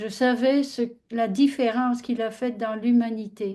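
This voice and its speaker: The tone is dark and mellow. The pace is fairly slow. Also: woman. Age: 70s. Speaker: audience participant. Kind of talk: personal testimony.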